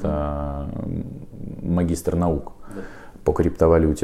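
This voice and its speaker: With noticeable background noise behind him, a man with a very deep, low pitch speaks very slowly in fairly even intonation. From Ukraine, Donetsk. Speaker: university student and IT worker. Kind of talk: interview.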